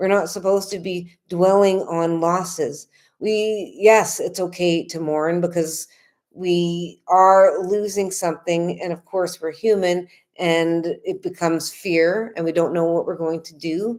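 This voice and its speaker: Against a silent background in a very clean recording, a woman with a fairly low pitch speaks slowly, her intonation flat and monotone. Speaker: spiritual healing teacher. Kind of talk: livestream talk. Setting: livestream at home in apartment. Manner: loud; casual, conversational.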